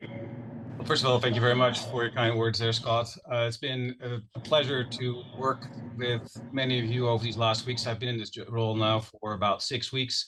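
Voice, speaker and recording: Flat, monotone delivery at a moderate pace over noticeable background noise. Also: man, medium pitch for a man. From Netherlands. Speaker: wildlife agency manager. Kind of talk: self-introduction at public meeting. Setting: hybrid public meeting.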